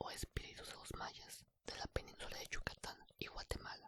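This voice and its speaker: Someone whispers at a fairly slow pace. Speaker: ASMR storyteller. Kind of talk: bedtime story reading. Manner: whispered.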